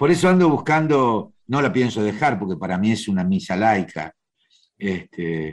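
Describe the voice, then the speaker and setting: This man has a Rioplatense accent and lively intonation. His pace is fairly slow. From Argentina, Buenos Aires (Once). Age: 70s. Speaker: actor. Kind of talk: interview. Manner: hesitant, many fillers.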